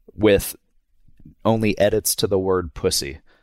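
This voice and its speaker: In a very clean recording with a silent background and a dry, close sound with no echo, a man speaks very slowly with fairly even intonation in a very deep, low pitch. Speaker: animated show co-creator. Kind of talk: casual chat. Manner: low energy.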